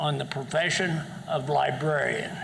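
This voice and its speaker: A man with a fairly high pitch at a fairly slow pace, with noticeable background noise and audible room echo. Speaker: public commenter at school board meeting. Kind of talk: public comment speech. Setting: school board meeting. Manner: loud.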